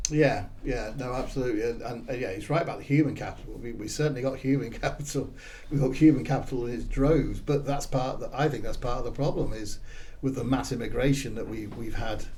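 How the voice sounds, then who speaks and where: A man at a fairly quick pace and medium pitch, with audible room echo. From southern England, Swindon, Wiltshire. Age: 50s. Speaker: political candidate. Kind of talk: casual chat.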